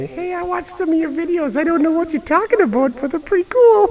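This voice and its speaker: A put-on character voice rattles along at a very fast pace in an extremely high pitch. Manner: condescending.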